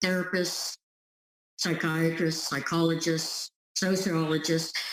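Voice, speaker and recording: A woman with an unremarkable speaking voice, fairly low pitch and fairly slow pace. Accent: American. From US. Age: 60s. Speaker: relationship empowerment coach. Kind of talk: interview testimony.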